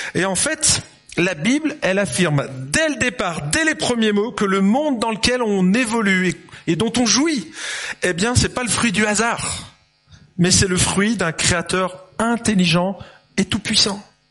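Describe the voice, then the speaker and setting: A man speaks at a fairly slow pace with a high pitch and lively intonation. Noticeable background noise runs under his voice. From France, Lyon. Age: 50s. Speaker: pastor. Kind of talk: sermon. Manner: animated.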